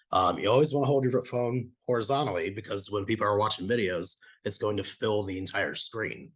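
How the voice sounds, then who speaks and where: This man talks at a fairly quick pace in a fairly low, shaky, somewhat breathy voice. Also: ordinary pitch variation, quiet background. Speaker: presenter on video marketing. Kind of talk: lecture. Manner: shaky voice.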